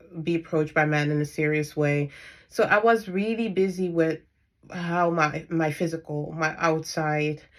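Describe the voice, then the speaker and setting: A woman with a non-native accent, fairly low pitch and fairly even intonation at a moderate pace, on a very clean recording with a silent background. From Netherlands. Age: 30s. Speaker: spiritual coach and dietitian. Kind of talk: personal vlog monologue. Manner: halting, many fillers.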